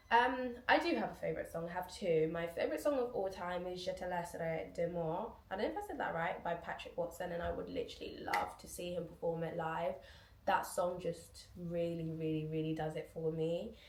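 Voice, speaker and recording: Noticeable background noise and audible room echo accompany a woman who speaks at a fairly quick pace. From UK, moved from Guinea at about four. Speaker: YouTuber. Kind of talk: casual Q&A vlog. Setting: at home, back door open. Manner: chatty, many fillers.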